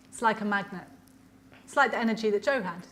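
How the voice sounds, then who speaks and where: A woman at fairly high pitch with ordinary pitch variation, against noticeable background noise. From Ireland. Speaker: lecturer, politician. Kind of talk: lecture Q&A answer.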